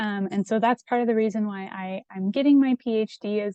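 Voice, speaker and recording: A woman with a Midwestern US accent speaks at a fairly high pitch in a dark, mellow tone. Her pace is moderate with ordinary pitch variation, and the sound is dry and close with no echo. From Indiana, US Midwest. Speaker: PhD candidate, scientist. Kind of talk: Q&A talk to students. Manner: hesitant, many fillers.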